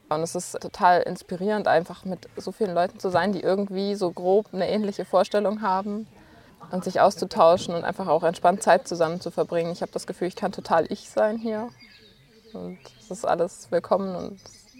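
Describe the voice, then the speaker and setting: In a plain, everyday voice, a woman talks at a fairly quick pace with fairly even intonation and big swings in loudness. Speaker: volunteer gardener. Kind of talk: casual interview.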